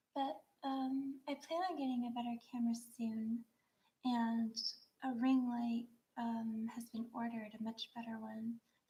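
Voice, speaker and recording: A soft-spoken woman talks fairly slowly in a dark, mellow tone with monotone, flat intonation. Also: fairly high pitch for a woman. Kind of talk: casual talk to camera, craft livestream.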